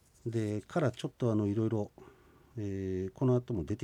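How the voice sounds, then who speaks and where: A man speaks at a very fast pace with a fairly low pitch and ordinary pitch variation. The sound is dry and close, with no echo. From Hokkaido, Shizunai (Hidaka). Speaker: Ainu language instructor. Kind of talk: radio language lesson. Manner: frequent filler 'e' hesitations.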